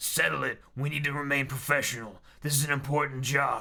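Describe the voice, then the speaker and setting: A man puts on a character voice that is gruff and raspy, with a stern tone and a fairly high pitch. He speaks fairly quickly with monotone, flat intonation. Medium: read story. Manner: gruff, stern.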